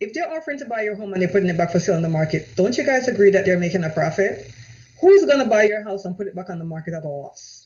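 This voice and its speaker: In a Jamaican accent, the speaker races along at a very fast pace with an animated tone. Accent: Jamaican, noticeable. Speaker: real estate agent. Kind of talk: live-streamed sales presentation. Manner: animated, repetitive.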